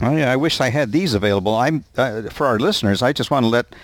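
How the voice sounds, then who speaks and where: This is a man with an unremarkable speaking voice at a medium pitch. His intonation is lively. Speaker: podcast host. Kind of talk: interview. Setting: Skype call.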